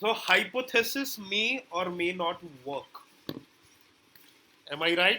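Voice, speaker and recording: A raised, projected voice at a very slow pace, with ordinary pitch variation and long, frequent pauses. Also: man, high pitch for a man. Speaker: digital marketing trainer. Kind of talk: live online class.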